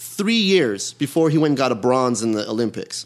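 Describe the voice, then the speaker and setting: Moderately paced speech from a man with very wide pitch swings, on a very clean recording with a silent background. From Iran, raised in Los Angeles (Canoga Park). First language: Persian. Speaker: actor and comedian, amateur boxer. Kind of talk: casual chat.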